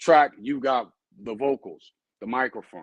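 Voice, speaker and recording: A man with a plain, everyday voice speaks at a moderate pace and medium pitch, in a dry, close sound with no echo. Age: 40s. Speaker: dog breeder and trainer. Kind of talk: live stream talk. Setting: live stream. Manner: casual, rambling delivery with fillers.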